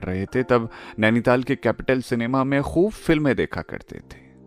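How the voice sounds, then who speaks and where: The intonation is lively, heard over music in the background. The sound is dry and close, with no echo. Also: man. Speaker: radio jockey and storyteller. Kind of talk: story narration, podcast.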